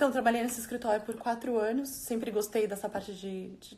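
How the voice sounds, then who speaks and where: This woman sounds somewhat breathy and keeps a moderate pace. Her intonation stays fairly even. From Brazil, São Paulo. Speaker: lawyer. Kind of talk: interview. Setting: Instagram live video.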